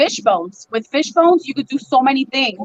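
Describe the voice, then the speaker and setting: A woman talks in a high pitch. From US, Cuban-American family. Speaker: chef. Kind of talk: casual chat. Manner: fast.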